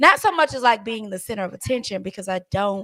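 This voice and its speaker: A woman talks at a moderate pace in a bright, sharp tone with lively intonation. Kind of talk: casual chat. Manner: loud; halting.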